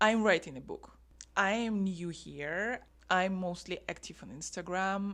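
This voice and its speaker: Someone with a non-native accent speaks very slowly on a very clean recording with a silent background. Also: woman. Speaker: writer vlogger. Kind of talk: vlog talking to camera. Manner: halting.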